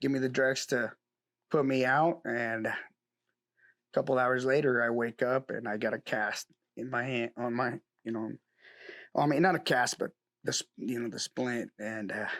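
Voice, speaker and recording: Medium in pitch, a man talks at a moderate pace with fairly even intonation. The recording is very clean, dry and close, with a silent background and no echo. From Mexico, then northeast Oregon from age nine. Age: 30s. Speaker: rodeo bronc rider. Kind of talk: interview. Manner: halting, with repetitions.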